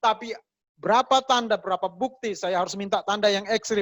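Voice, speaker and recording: With a West Sulawesi accent, a man speaks at a moderate pace in a high pitch, the sound dry and close with no echo. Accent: Mamasa regional accent in Indonesian. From Mamasa, West Sulawesi, Indonesia. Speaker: pastor. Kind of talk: sermon. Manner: conversational, colloquial.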